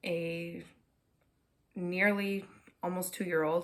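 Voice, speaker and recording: Very slowly and in a flat monotone, a woman with a fairly low voice speaks in a Minnesotan accent. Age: 20s. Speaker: knitting podcaster. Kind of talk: casual chat. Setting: at home. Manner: frequent filler words.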